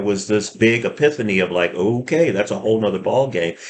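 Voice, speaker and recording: A man's unremarkable speaking voice at a fairly low pitch. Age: 60s. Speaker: gym owner and fitness consultant. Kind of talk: casual talk to camera. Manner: relaxed, with many fillers.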